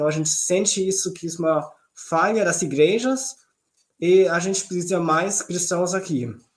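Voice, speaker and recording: Using ordinary pitch variation, a man speaks in a high pitch. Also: moderate pace. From southern Germany. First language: German (speaking Portuguese). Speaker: missionary. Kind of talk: live-stream interview.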